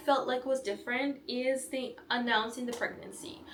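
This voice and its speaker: A woman speaks with a Belarusian accent at a moderate pace. Her pitch is high. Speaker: vlogger. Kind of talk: casual vlog talk.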